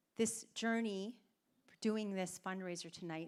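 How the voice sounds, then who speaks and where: This woman speaks with a Canadian accent. Her pitch varies in an ordinary way. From Canada, Toronto. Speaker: fundraiser organiser. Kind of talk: speech to audience. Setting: stage with audience.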